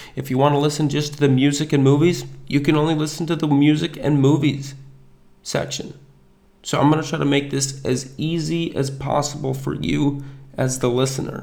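Audible room echo accompanies a man speaking at a moderate pace with a fairly high pitch and monotone, flat intonation. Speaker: podcast host. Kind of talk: solo podcast monologue.

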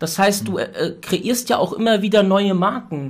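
A man talks at a moderate pace. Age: 30s. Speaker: podcast host. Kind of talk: casual interview.

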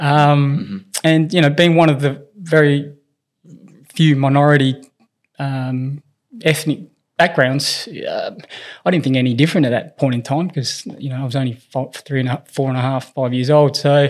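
A man with an Australian accent speaks at a moderate pace. His fairly high pitch shows ordinary variation. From Australia, grew up in Whyalla, South Australia (born in Philippines). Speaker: strength and conditioning coach for elite tennis players. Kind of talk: interview, personal storytelling. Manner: hesitant, many fillers and repetitions.

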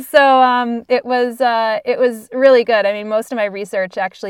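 Here a woman with an American accent talks at a fairly quick pace with ordinary pitch variation. The recording is very clean with a silent background and a dry, close sound with no echo. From northeastern Pennsylvania. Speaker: entrepreneur and author. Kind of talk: interview conversation. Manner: hesitant, many fillers and restarts.

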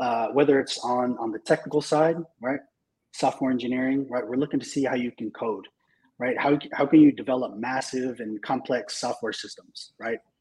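Speaking at a moderate pace with fairly even intonation, this is an unremarkable speaking voice with an American accent. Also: man, medium pitch for a man. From California (Marina, Monterey area). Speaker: tech recruiting leader. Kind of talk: interview.

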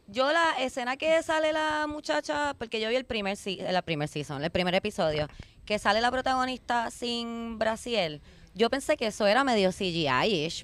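Moderately paced, a woman speaks at a fairly high pitch with very wide pitch swings. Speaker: podcast host. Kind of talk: casual chat. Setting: outdoors in a park.

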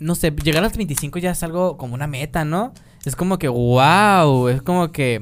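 Using a plain, everyday voice, a man of fairly high pitch speaks at a fairly slow pace with ordinary pitch variation. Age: 20s. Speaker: podcast host. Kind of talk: casual chat; reading aloud.

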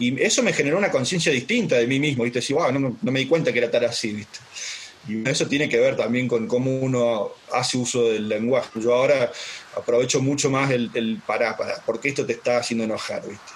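Noticeable background noise sits behind the voice. The man talks at a fairly quick pace. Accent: slight Córdoba. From Brazil, raised there from 4 to 16; born in Córdoba, Argentina. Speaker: life coach. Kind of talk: casual interview.

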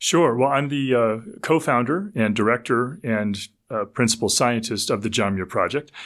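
A man speaks in a plain, everyday voice at medium pitch and a moderate pace, with ordinary pitch variation on a very clean recording over a silent background. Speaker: ecologist and author. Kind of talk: casual interview.

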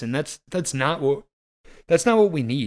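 A normal speaking voice from a man, fairly high in pitch, with lively intonation, on a very clean recording with a silent background. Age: 30s. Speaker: hunter and podcast host. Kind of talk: casual chat.

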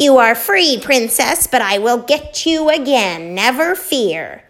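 Shrill and high, a woman's put-on character voice moves at a fairly slow pace.

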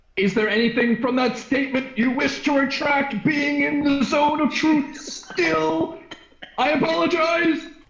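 A man's put-on character voice at an extremely high pitch, delivered at a moderate pace with a slight echo. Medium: actual play. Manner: stilted, formal.

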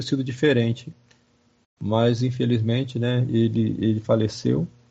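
A man with a medium pitch and a somewhat breathy voice speaks with fairly even intonation. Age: 50s. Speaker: professor. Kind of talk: lecture-style interview. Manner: halting, many fillers.

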